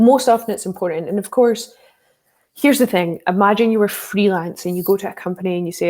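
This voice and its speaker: A woman in a Scottish accent, medium in pitch with a dark, mellow tone, ordinary pitch variation and a very fast pace. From Scotland, working-class town. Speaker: security professional, social engineer, author. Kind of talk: interview.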